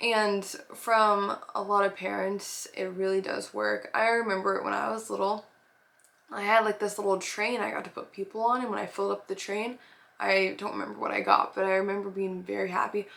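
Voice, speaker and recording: Talk at a fairly quick pace, set against noticeable background noise. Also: woman. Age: 20s. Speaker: nanny and preschool teacher. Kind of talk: casual advice talk. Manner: casual, filler-heavy.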